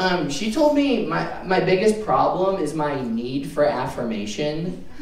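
A man speaks, and his voice carries audible echo from the room. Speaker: stand-up comedian. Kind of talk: stand-up comedy set, crowd-work punchlines with pauses for laughs. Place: stage.

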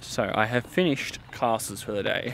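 Loud background noise surrounds a man speaking at a fairly slow pace with ordinary pitch variation. The sound is dry, with no echo. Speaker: vlogger. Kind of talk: casual vlog chat. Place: open country. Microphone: phone near.

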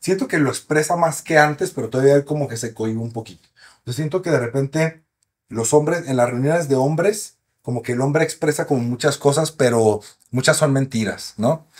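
Over a quiet background, a man talks at a fairly quick pace and fairly high pitch with ordinary pitch variation. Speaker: sexologist doctor; guest. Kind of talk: casual interview, expert explanations. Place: studio. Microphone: studio mic.

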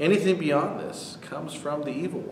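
With light background noise and audible room echo, a man is talking. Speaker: pastor. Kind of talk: sermon. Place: church. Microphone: camera far.

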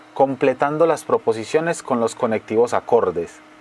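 A man speaks over noticeable background noise. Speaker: voice-over narrator. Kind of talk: educational course narration.

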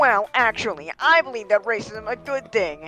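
A female-sounding put-on character voice, fairly high in pitch, moves at a moderate pace with faint music in the background. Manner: pompous, smug.

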